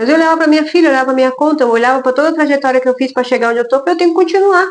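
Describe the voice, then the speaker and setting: Lively intonation runs through this woman's speech. Her pitch sits high. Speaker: lawyer. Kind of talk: casual talk to camera about work experience. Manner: loud.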